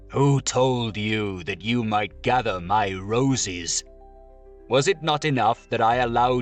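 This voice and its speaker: A man uses a put-on character voice at a medium pitch, sounding furious at a fairly slow pace. Clear music plays in the background. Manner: furious, terrible.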